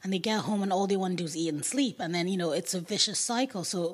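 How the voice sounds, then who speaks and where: Here a woman talks at a medium pitch. The rise and fall of her voice is ordinary. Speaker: podcast host. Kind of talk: interview conversation.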